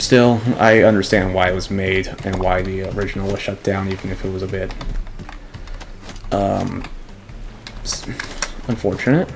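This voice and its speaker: Soft-spoken delivery at a moderate pace, with long, frequent pauses and noticeable background noise. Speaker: gaming youtuber. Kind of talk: let's play commentary. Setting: home recording at night. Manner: halting.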